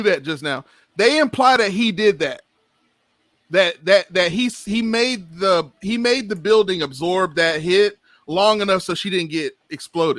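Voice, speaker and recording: A man speaks at a fairly slow pace in a high pitch, his tone bright, sharp and animated. The intonation is lively, and the sound is dry and close with no echo. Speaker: podcast co-host. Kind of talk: casual chat. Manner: loud.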